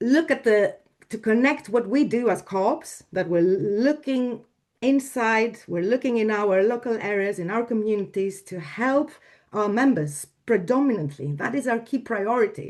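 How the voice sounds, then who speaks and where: A woman with a Greek accent and lively intonation, against a quiet background. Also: fairly high pitch for a woman, moderate pace. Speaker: domain registry executive. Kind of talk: panel discussion. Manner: halting.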